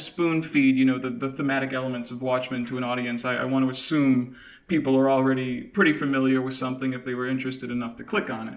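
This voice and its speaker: A man talks at a very fast pace with hardly any pauses, his medium-pitched voice carrying an audible room echo. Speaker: podcast co-host. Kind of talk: casual chat. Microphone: slight echo from kitchen.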